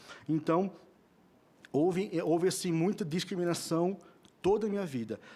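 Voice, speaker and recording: Dark, mellow tone in a high-pitched male voice. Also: ordinary pitch variation, moderate pace. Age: 30s. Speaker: person with Tourette syndrome, psychopedagogy student. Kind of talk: testimony at public hearing. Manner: halting, repetitive fillers.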